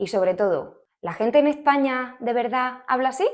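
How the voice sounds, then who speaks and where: A woman's fairly high voice, very slow in pace and lively in intonation. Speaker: Spanish teacher. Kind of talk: acted casual dialogue with a friend. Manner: chatty, colloquial.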